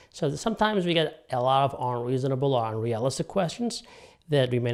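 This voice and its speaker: In a very clean recording with a silent background, the talking goes at a fairly quick pace. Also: man. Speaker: doctor presenting health videos. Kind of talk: health explainer monologue.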